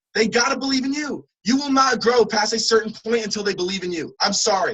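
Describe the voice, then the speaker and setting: Speaking at a fairly quick pace with a New Jersey accent, the voice sounds animated, with ordinary pitch variation. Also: man, high pitch for a man. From New Jersey (Trenton). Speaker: motivational speaker. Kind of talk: motivational talk.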